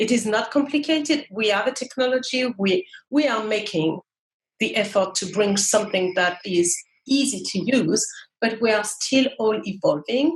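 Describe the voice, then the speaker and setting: A woman's fairly high, somewhat breathy voice with lively intonation, a moderate pace and very even loudness. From France. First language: French. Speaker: marketing manager. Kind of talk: interview. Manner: halting.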